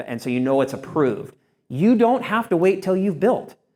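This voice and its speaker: Loud and high-pitched, a man talks at a fairly quick pace with very wide pitch swings. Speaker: surveyor and attorney. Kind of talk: lecture.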